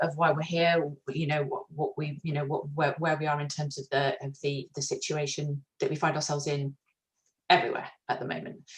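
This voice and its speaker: A woman speaks in a very deep, low voice, somewhat breathy, with big swings in loudness. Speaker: HR consultant running a webinar. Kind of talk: webinar presentation. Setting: video webinar. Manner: fast; hesitant with many fillers.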